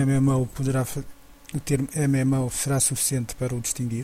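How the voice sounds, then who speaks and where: A man's fairly high voice carries a dark, mellow tone and is somewhat breathy. He keeps a moderate pace with monotone, flat intonation. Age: 40s. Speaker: podcast host. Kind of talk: solo podcast commentary. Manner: halting, with repetitions.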